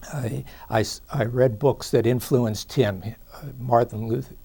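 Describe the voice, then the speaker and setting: Dark and mellow in tone, a man speaks at a very slow pace in a medium pitch. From Pittsburgh, Pennsylvania. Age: 60s. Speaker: attorney. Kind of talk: interview. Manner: halting, many fillers.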